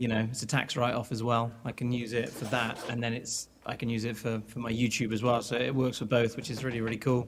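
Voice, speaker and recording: With a British accent, a man speaks at a medium pitch and a very fast pace with hardly any pauses. His intonation is monotone and flat, and there is noticeable background noise. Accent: common British. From England. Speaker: guitarist and producer. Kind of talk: casual chat.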